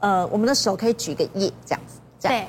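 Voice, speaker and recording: Pitched in the medium range, a woman's voice moves in very wide pitch swings. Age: 40s. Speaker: aesthetics consultant, former nurse. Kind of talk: TV talk show chat.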